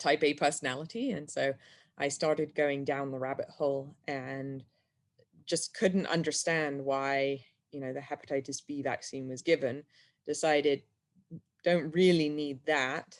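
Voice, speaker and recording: In an English accent, a woman talks at a fairly slow pace. Her pitch is very deep and low, and her intonation fairly even. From England. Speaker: health freedom activist. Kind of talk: interview.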